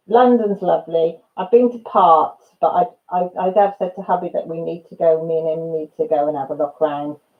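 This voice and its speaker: With a slight Welsh accent, a woman with a fairly low pitch talks at a moderate pace with hardly any pauses, ordinary pitch variation and big swings in loudness. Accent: slight Radnorshire Welsh twang. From Wales, Radnorshire. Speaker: live streamer. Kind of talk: casual chat. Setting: live stream.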